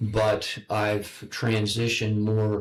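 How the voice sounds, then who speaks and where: A man's fairly low-pitched voice with an American accent. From United States. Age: 70s. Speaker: online broadcast host. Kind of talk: interview. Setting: public library. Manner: halting, repeats words.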